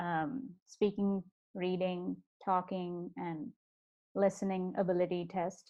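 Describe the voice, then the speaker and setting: Speaking at a very slow pace with long, frequent pauses, a woman with a slight Indian accent uses a medium pitch and fairly even intonation. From South India, Bangalore. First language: Kannada and Telugu. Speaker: podcast guest, software professional. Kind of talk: interview. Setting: video call. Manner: hesitant, many fillers.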